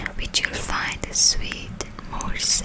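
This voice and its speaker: Whispering, a woman speaks at a very slow pace. There is noticeable background noise. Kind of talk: whispered storybook reading for sleep. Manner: whispered, soft, close to the microphone.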